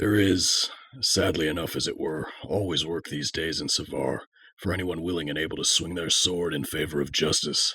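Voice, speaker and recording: Put-on character voice from a man, very deep and low, with fairly even intonation at a moderate pace. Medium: audio drama. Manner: potent and stoic.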